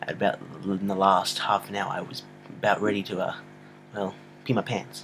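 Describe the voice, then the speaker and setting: Mumbling and quiet, a man speaks at a moderate pace in a fairly low pitch. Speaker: amateur movie reviewer. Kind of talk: casual vlog review. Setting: home at night, filming on a computer. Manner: quiet, mumbling.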